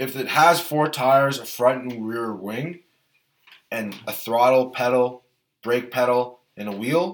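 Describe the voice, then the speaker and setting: Speaking at a fairly slow pace, a man with a plain, everyday voice keeps a medium pitch with ordinary pitch variation while his loudness swings widely. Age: 20s. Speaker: F1 podcast co-host. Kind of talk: casual chat.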